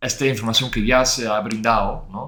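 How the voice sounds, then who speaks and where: A man with a Dutch accent speaks at a medium pitch. His pace is fairly slow. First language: Dutch (speaking Spanish). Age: 30s. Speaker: former head of growth. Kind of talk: interview. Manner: halting.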